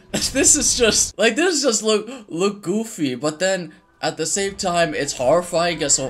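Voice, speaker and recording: Over music in the background, a man with a high voice talks fairly slowly with lively intonation. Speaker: reaction video creator. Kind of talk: casual reaction commentary. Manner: stuttering, halting; animated.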